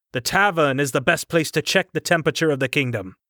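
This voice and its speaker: In a gruff, put-on character voice with a fairly high pitch, a man races along at a very fast pace, the sound dry and close with no echo on a very clean recording with a silent background. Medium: read story. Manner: grumbling, blunt.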